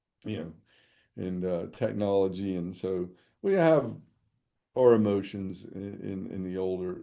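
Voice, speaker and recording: A man's very deep, low voice in an American accent, dark and mellow, with ordinary pitch variation, big swings in loudness, a fairly slow pace, long and frequent pauses, and audible room echo. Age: 60s. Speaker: trial lawyer. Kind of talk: webinar talk. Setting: online webinar. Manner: halting, many fillers and repetitions.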